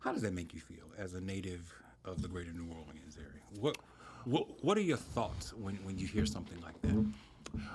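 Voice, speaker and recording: The man's voice is very deep and low in pitch and somewhat breathy. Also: ordinary pitch variation, moderate pace. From Baton Rouge, Louisiana. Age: 60s. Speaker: pastor and podcast host. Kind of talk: interview.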